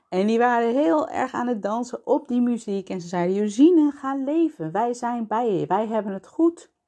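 With lively intonation and a dark, mellow tone, a woman talks at a moderate pace with hardly any pauses. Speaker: pelvic floor physiotherapist and podcast host. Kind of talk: personal monologue. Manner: halting.

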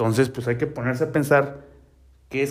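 Speaking with a Mexican accent and fairly even intonation, the voice comes through on a very clean recording with a silent background. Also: man. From Mexico, Oaxaca. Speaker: personal finance podcaster. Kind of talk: casual monologue. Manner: halting, many fillers.

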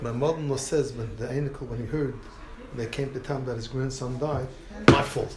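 Against noticeable background noise and audible room echo, a man talks fairly quickly at a medium pitch. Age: old. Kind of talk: informal talk to a group, storytelling. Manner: animated.

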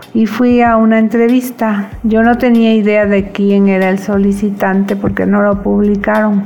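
Against noticeable background noise, a woman talks at a fairly slow pace with hardly any pauses. Her medium pitch stays monotone and flat, and her loudness is very even. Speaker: cooperative member telling life story. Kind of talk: personal testimony.

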